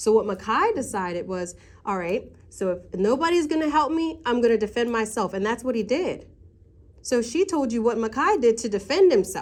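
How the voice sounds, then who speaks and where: A woman speaks with lively intonation at a moderate pace. Her pitch is fairly high. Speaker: parent at school meeting. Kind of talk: heated argument. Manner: loud.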